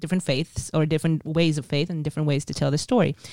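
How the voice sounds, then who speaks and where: Very fast and fairly even in intonation, a woman with a very deep, low pitch and an Israeli accent comes through a dry, close sound with no echo in a very clean recording with a silent background. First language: Hebrew. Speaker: tour guide and author. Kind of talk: interview conversation.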